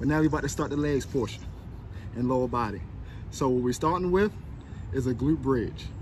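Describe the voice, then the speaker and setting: A man talks at a fairly quick pace with a dry sound and no echo, while noticeable background noise is present. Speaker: fitness trainer. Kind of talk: workout tutorial. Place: street. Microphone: phone near.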